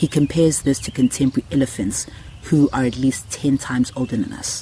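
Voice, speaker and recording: Speaking with a South African accent, a man has a medium pitch and a moderate pace. His intonation is fairly even, over noticeable background noise. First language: isiZulu. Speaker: podcast host. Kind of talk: scripted narration.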